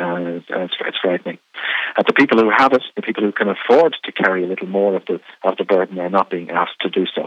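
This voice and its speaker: With an Irish accent, a man with a very deep, low voice speaks at a very fast pace. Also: ordinary pitch variation. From Ireland. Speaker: radio program director. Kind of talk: interview. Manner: halting, many fillers.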